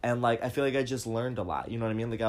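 A man with a plain, everyday voice talks at a medium pitch, his intonation fairly even. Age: 20s. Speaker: podcast host. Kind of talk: casual chat. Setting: at home on a bed.

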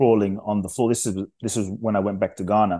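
Against a quiet background, a man speaks with a fairly low pitch and a dark, mellow tone. His intonation stays fairly even. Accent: London. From London. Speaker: inspirational speaker. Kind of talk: interview.

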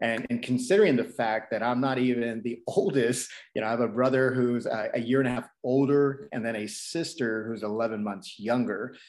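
A man speaks at a moderate pace with a medium pitch, ordinary pitch variation and hardly any pauses, in an ordinary speaking voice. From Texas. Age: 30s. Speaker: DJ. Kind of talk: casual interview.

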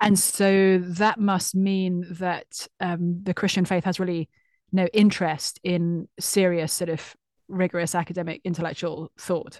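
Speaking with a British accent, a woman keeps a fairly low pitch and a fairly slow pace, her intonation monotone and flat. The sound is dry and close with no echo, over a quiet background. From UK. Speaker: author. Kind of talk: casual interview.

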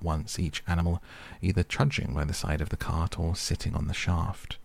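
With a very deep, low pitch and a somewhat breathy sound, a man speaks in a calm, soothing tone with fairly even intonation. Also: very clean recording, silent background. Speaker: audiobook narrator. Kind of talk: literary audiobook reading, bedtime story. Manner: soft, calm, soothing, unhurried.

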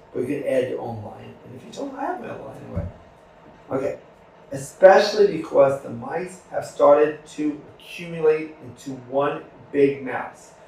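A man speaks at a moderate pace, his loudness swinging widely. Noticeable background noise runs under the clip. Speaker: podcast host. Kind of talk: casual interview. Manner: talkative, upbeat.

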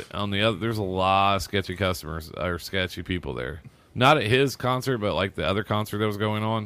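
In a plain, everyday voice, a man with fairly low pitch talks at a fairly quick pace with ordinary pitch variation, recorded very cleanly against a silent background. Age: 40s. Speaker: DJ and podcaster. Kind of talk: casual chat.

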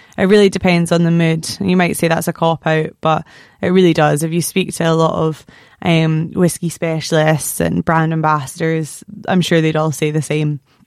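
Speaking at a moderate pace with very even loudness, a woman with a fairly low pitch and a Scottish accent keeps a monotone, flat intonation. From Scotland, near Stirling. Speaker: podcast host. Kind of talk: casual chat; interview.

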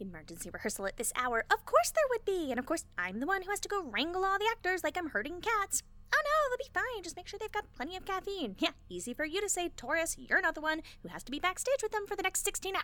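A woman speaks very fast with hardly any pauses, her extremely high pitch swinging very widely.

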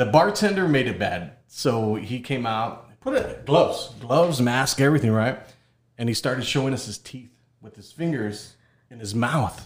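The voice is somewhat breathy and moves at a moderate pace, with lively intonation and big swings in loudness. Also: man, medium pitch for a man. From Rio Grande Valley, Texas. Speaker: podcast host and content creator. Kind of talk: casual chat.

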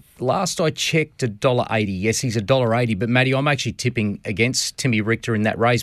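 At a very fast pace, a man of medium pitch speaks with an Australian accent and ordinary pitch variation. The sound is dry and close with no echo, in a very clean recording with a silent background. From Queensland, Australia (Redcliffe, north Brisbane). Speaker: harness racing commentator. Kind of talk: radio interview. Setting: radio studio.

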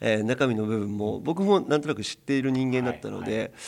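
Here is a man with an unremarkable speaking voice at a medium pitch. His intonation is lively, and the recording is very clean with a silent background. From Hokkaido, Sunagawa. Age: 40s. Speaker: club president. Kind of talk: radio interview.

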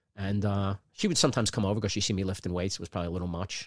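In a very clean recording against a silent background, the words come out at a very fast pace. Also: man, dry, close sound with no echo. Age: 50s. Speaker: stand-up comedian. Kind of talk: casual chat. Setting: home studio, live-streamed.

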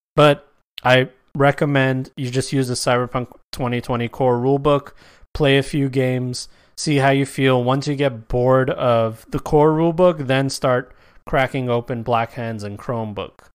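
Recorded very cleanly with a silent background, a man speaks at a medium pitch with fairly even intonation. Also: moderate pace. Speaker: podcast host and tabletop game content creator. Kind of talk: casual solo monologue. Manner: relaxed, free-form.

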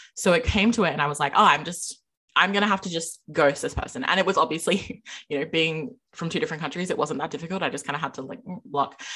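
A woman speaks loudly and very fast with an Australian accent, at a fairly low pitch. Her tone is bright and sharp, with ordinary pitch variation. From Adelaide, South Australia. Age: 20s. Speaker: podcaster. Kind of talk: casual chat. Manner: loud, outgoing.

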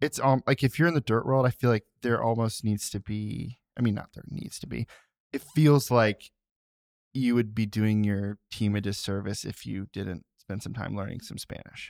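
In a normal speaking voice, a man talks at a medium pitch with ordinary pitch variation, the sound dry and close with no echo. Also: moderate pace. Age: 30s. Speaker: podcast co-host. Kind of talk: casual chat.

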